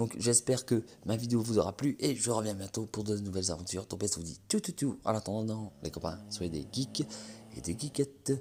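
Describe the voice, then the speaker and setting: In a dark, mellow tone, a man speaks at a moderate pace in a fairly low pitch with ordinary pitch variation. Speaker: gaming YouTuber. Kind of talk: game presentation. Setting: at home at night. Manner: soft-spoken, talking quietly; casual, hesitant with many fillers.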